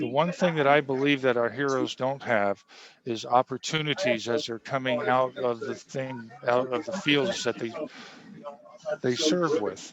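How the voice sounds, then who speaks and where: Amid noticeable background noise, a man at medium pitch talks at a fairly slow pace with ordinary pitch variation. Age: 60s. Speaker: navy veteran and nutrition product seller. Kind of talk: interview.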